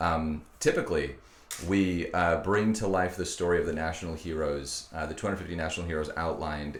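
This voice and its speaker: A man's somewhat breathy voice, very deep and low, at a fairly quick pace with fairly even intonation. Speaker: podcast host. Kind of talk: podcast introduction. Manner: hesitant, with filler words.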